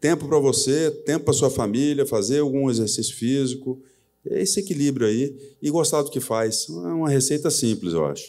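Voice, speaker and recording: With a dark, mellow tone, a man speaks at a fairly high pitch and a moderate pace, his intonation lively. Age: 60s. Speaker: company president. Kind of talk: live on-stage interview. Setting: stage with audience.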